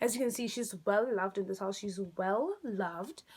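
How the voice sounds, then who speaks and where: A woman speaks at a fairly quick pace and a medium pitch. Noticeable background noise is present. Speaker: beauty vlogger. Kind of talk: makeup tutorial; casual vlog outro. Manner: fast; animated.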